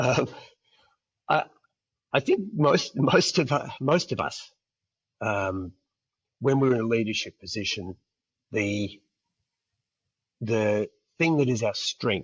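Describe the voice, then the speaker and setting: A man with an Australian accent, medium pitch and a somewhat breathy voice, at a very slow pace with lively intonation and long, frequent pauses. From Perth, Australia. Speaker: international school executive. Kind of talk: interview answer.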